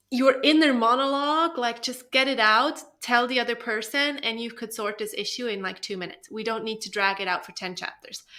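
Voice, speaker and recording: Talking at a fairly quick pace with hardly any pauses, a woman with a non-native accent has a high, bright, sharp voice, ordinary pitch variation and big swings in loudness. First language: not English. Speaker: book review podcast co-host. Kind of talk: casual chat. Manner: animated.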